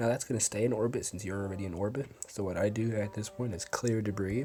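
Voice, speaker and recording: This man's pitch is fairly low, with fairly even intonation. He talks at a very fast pace over music in the background. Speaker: gaming tutorial youtuber. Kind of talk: tutorial.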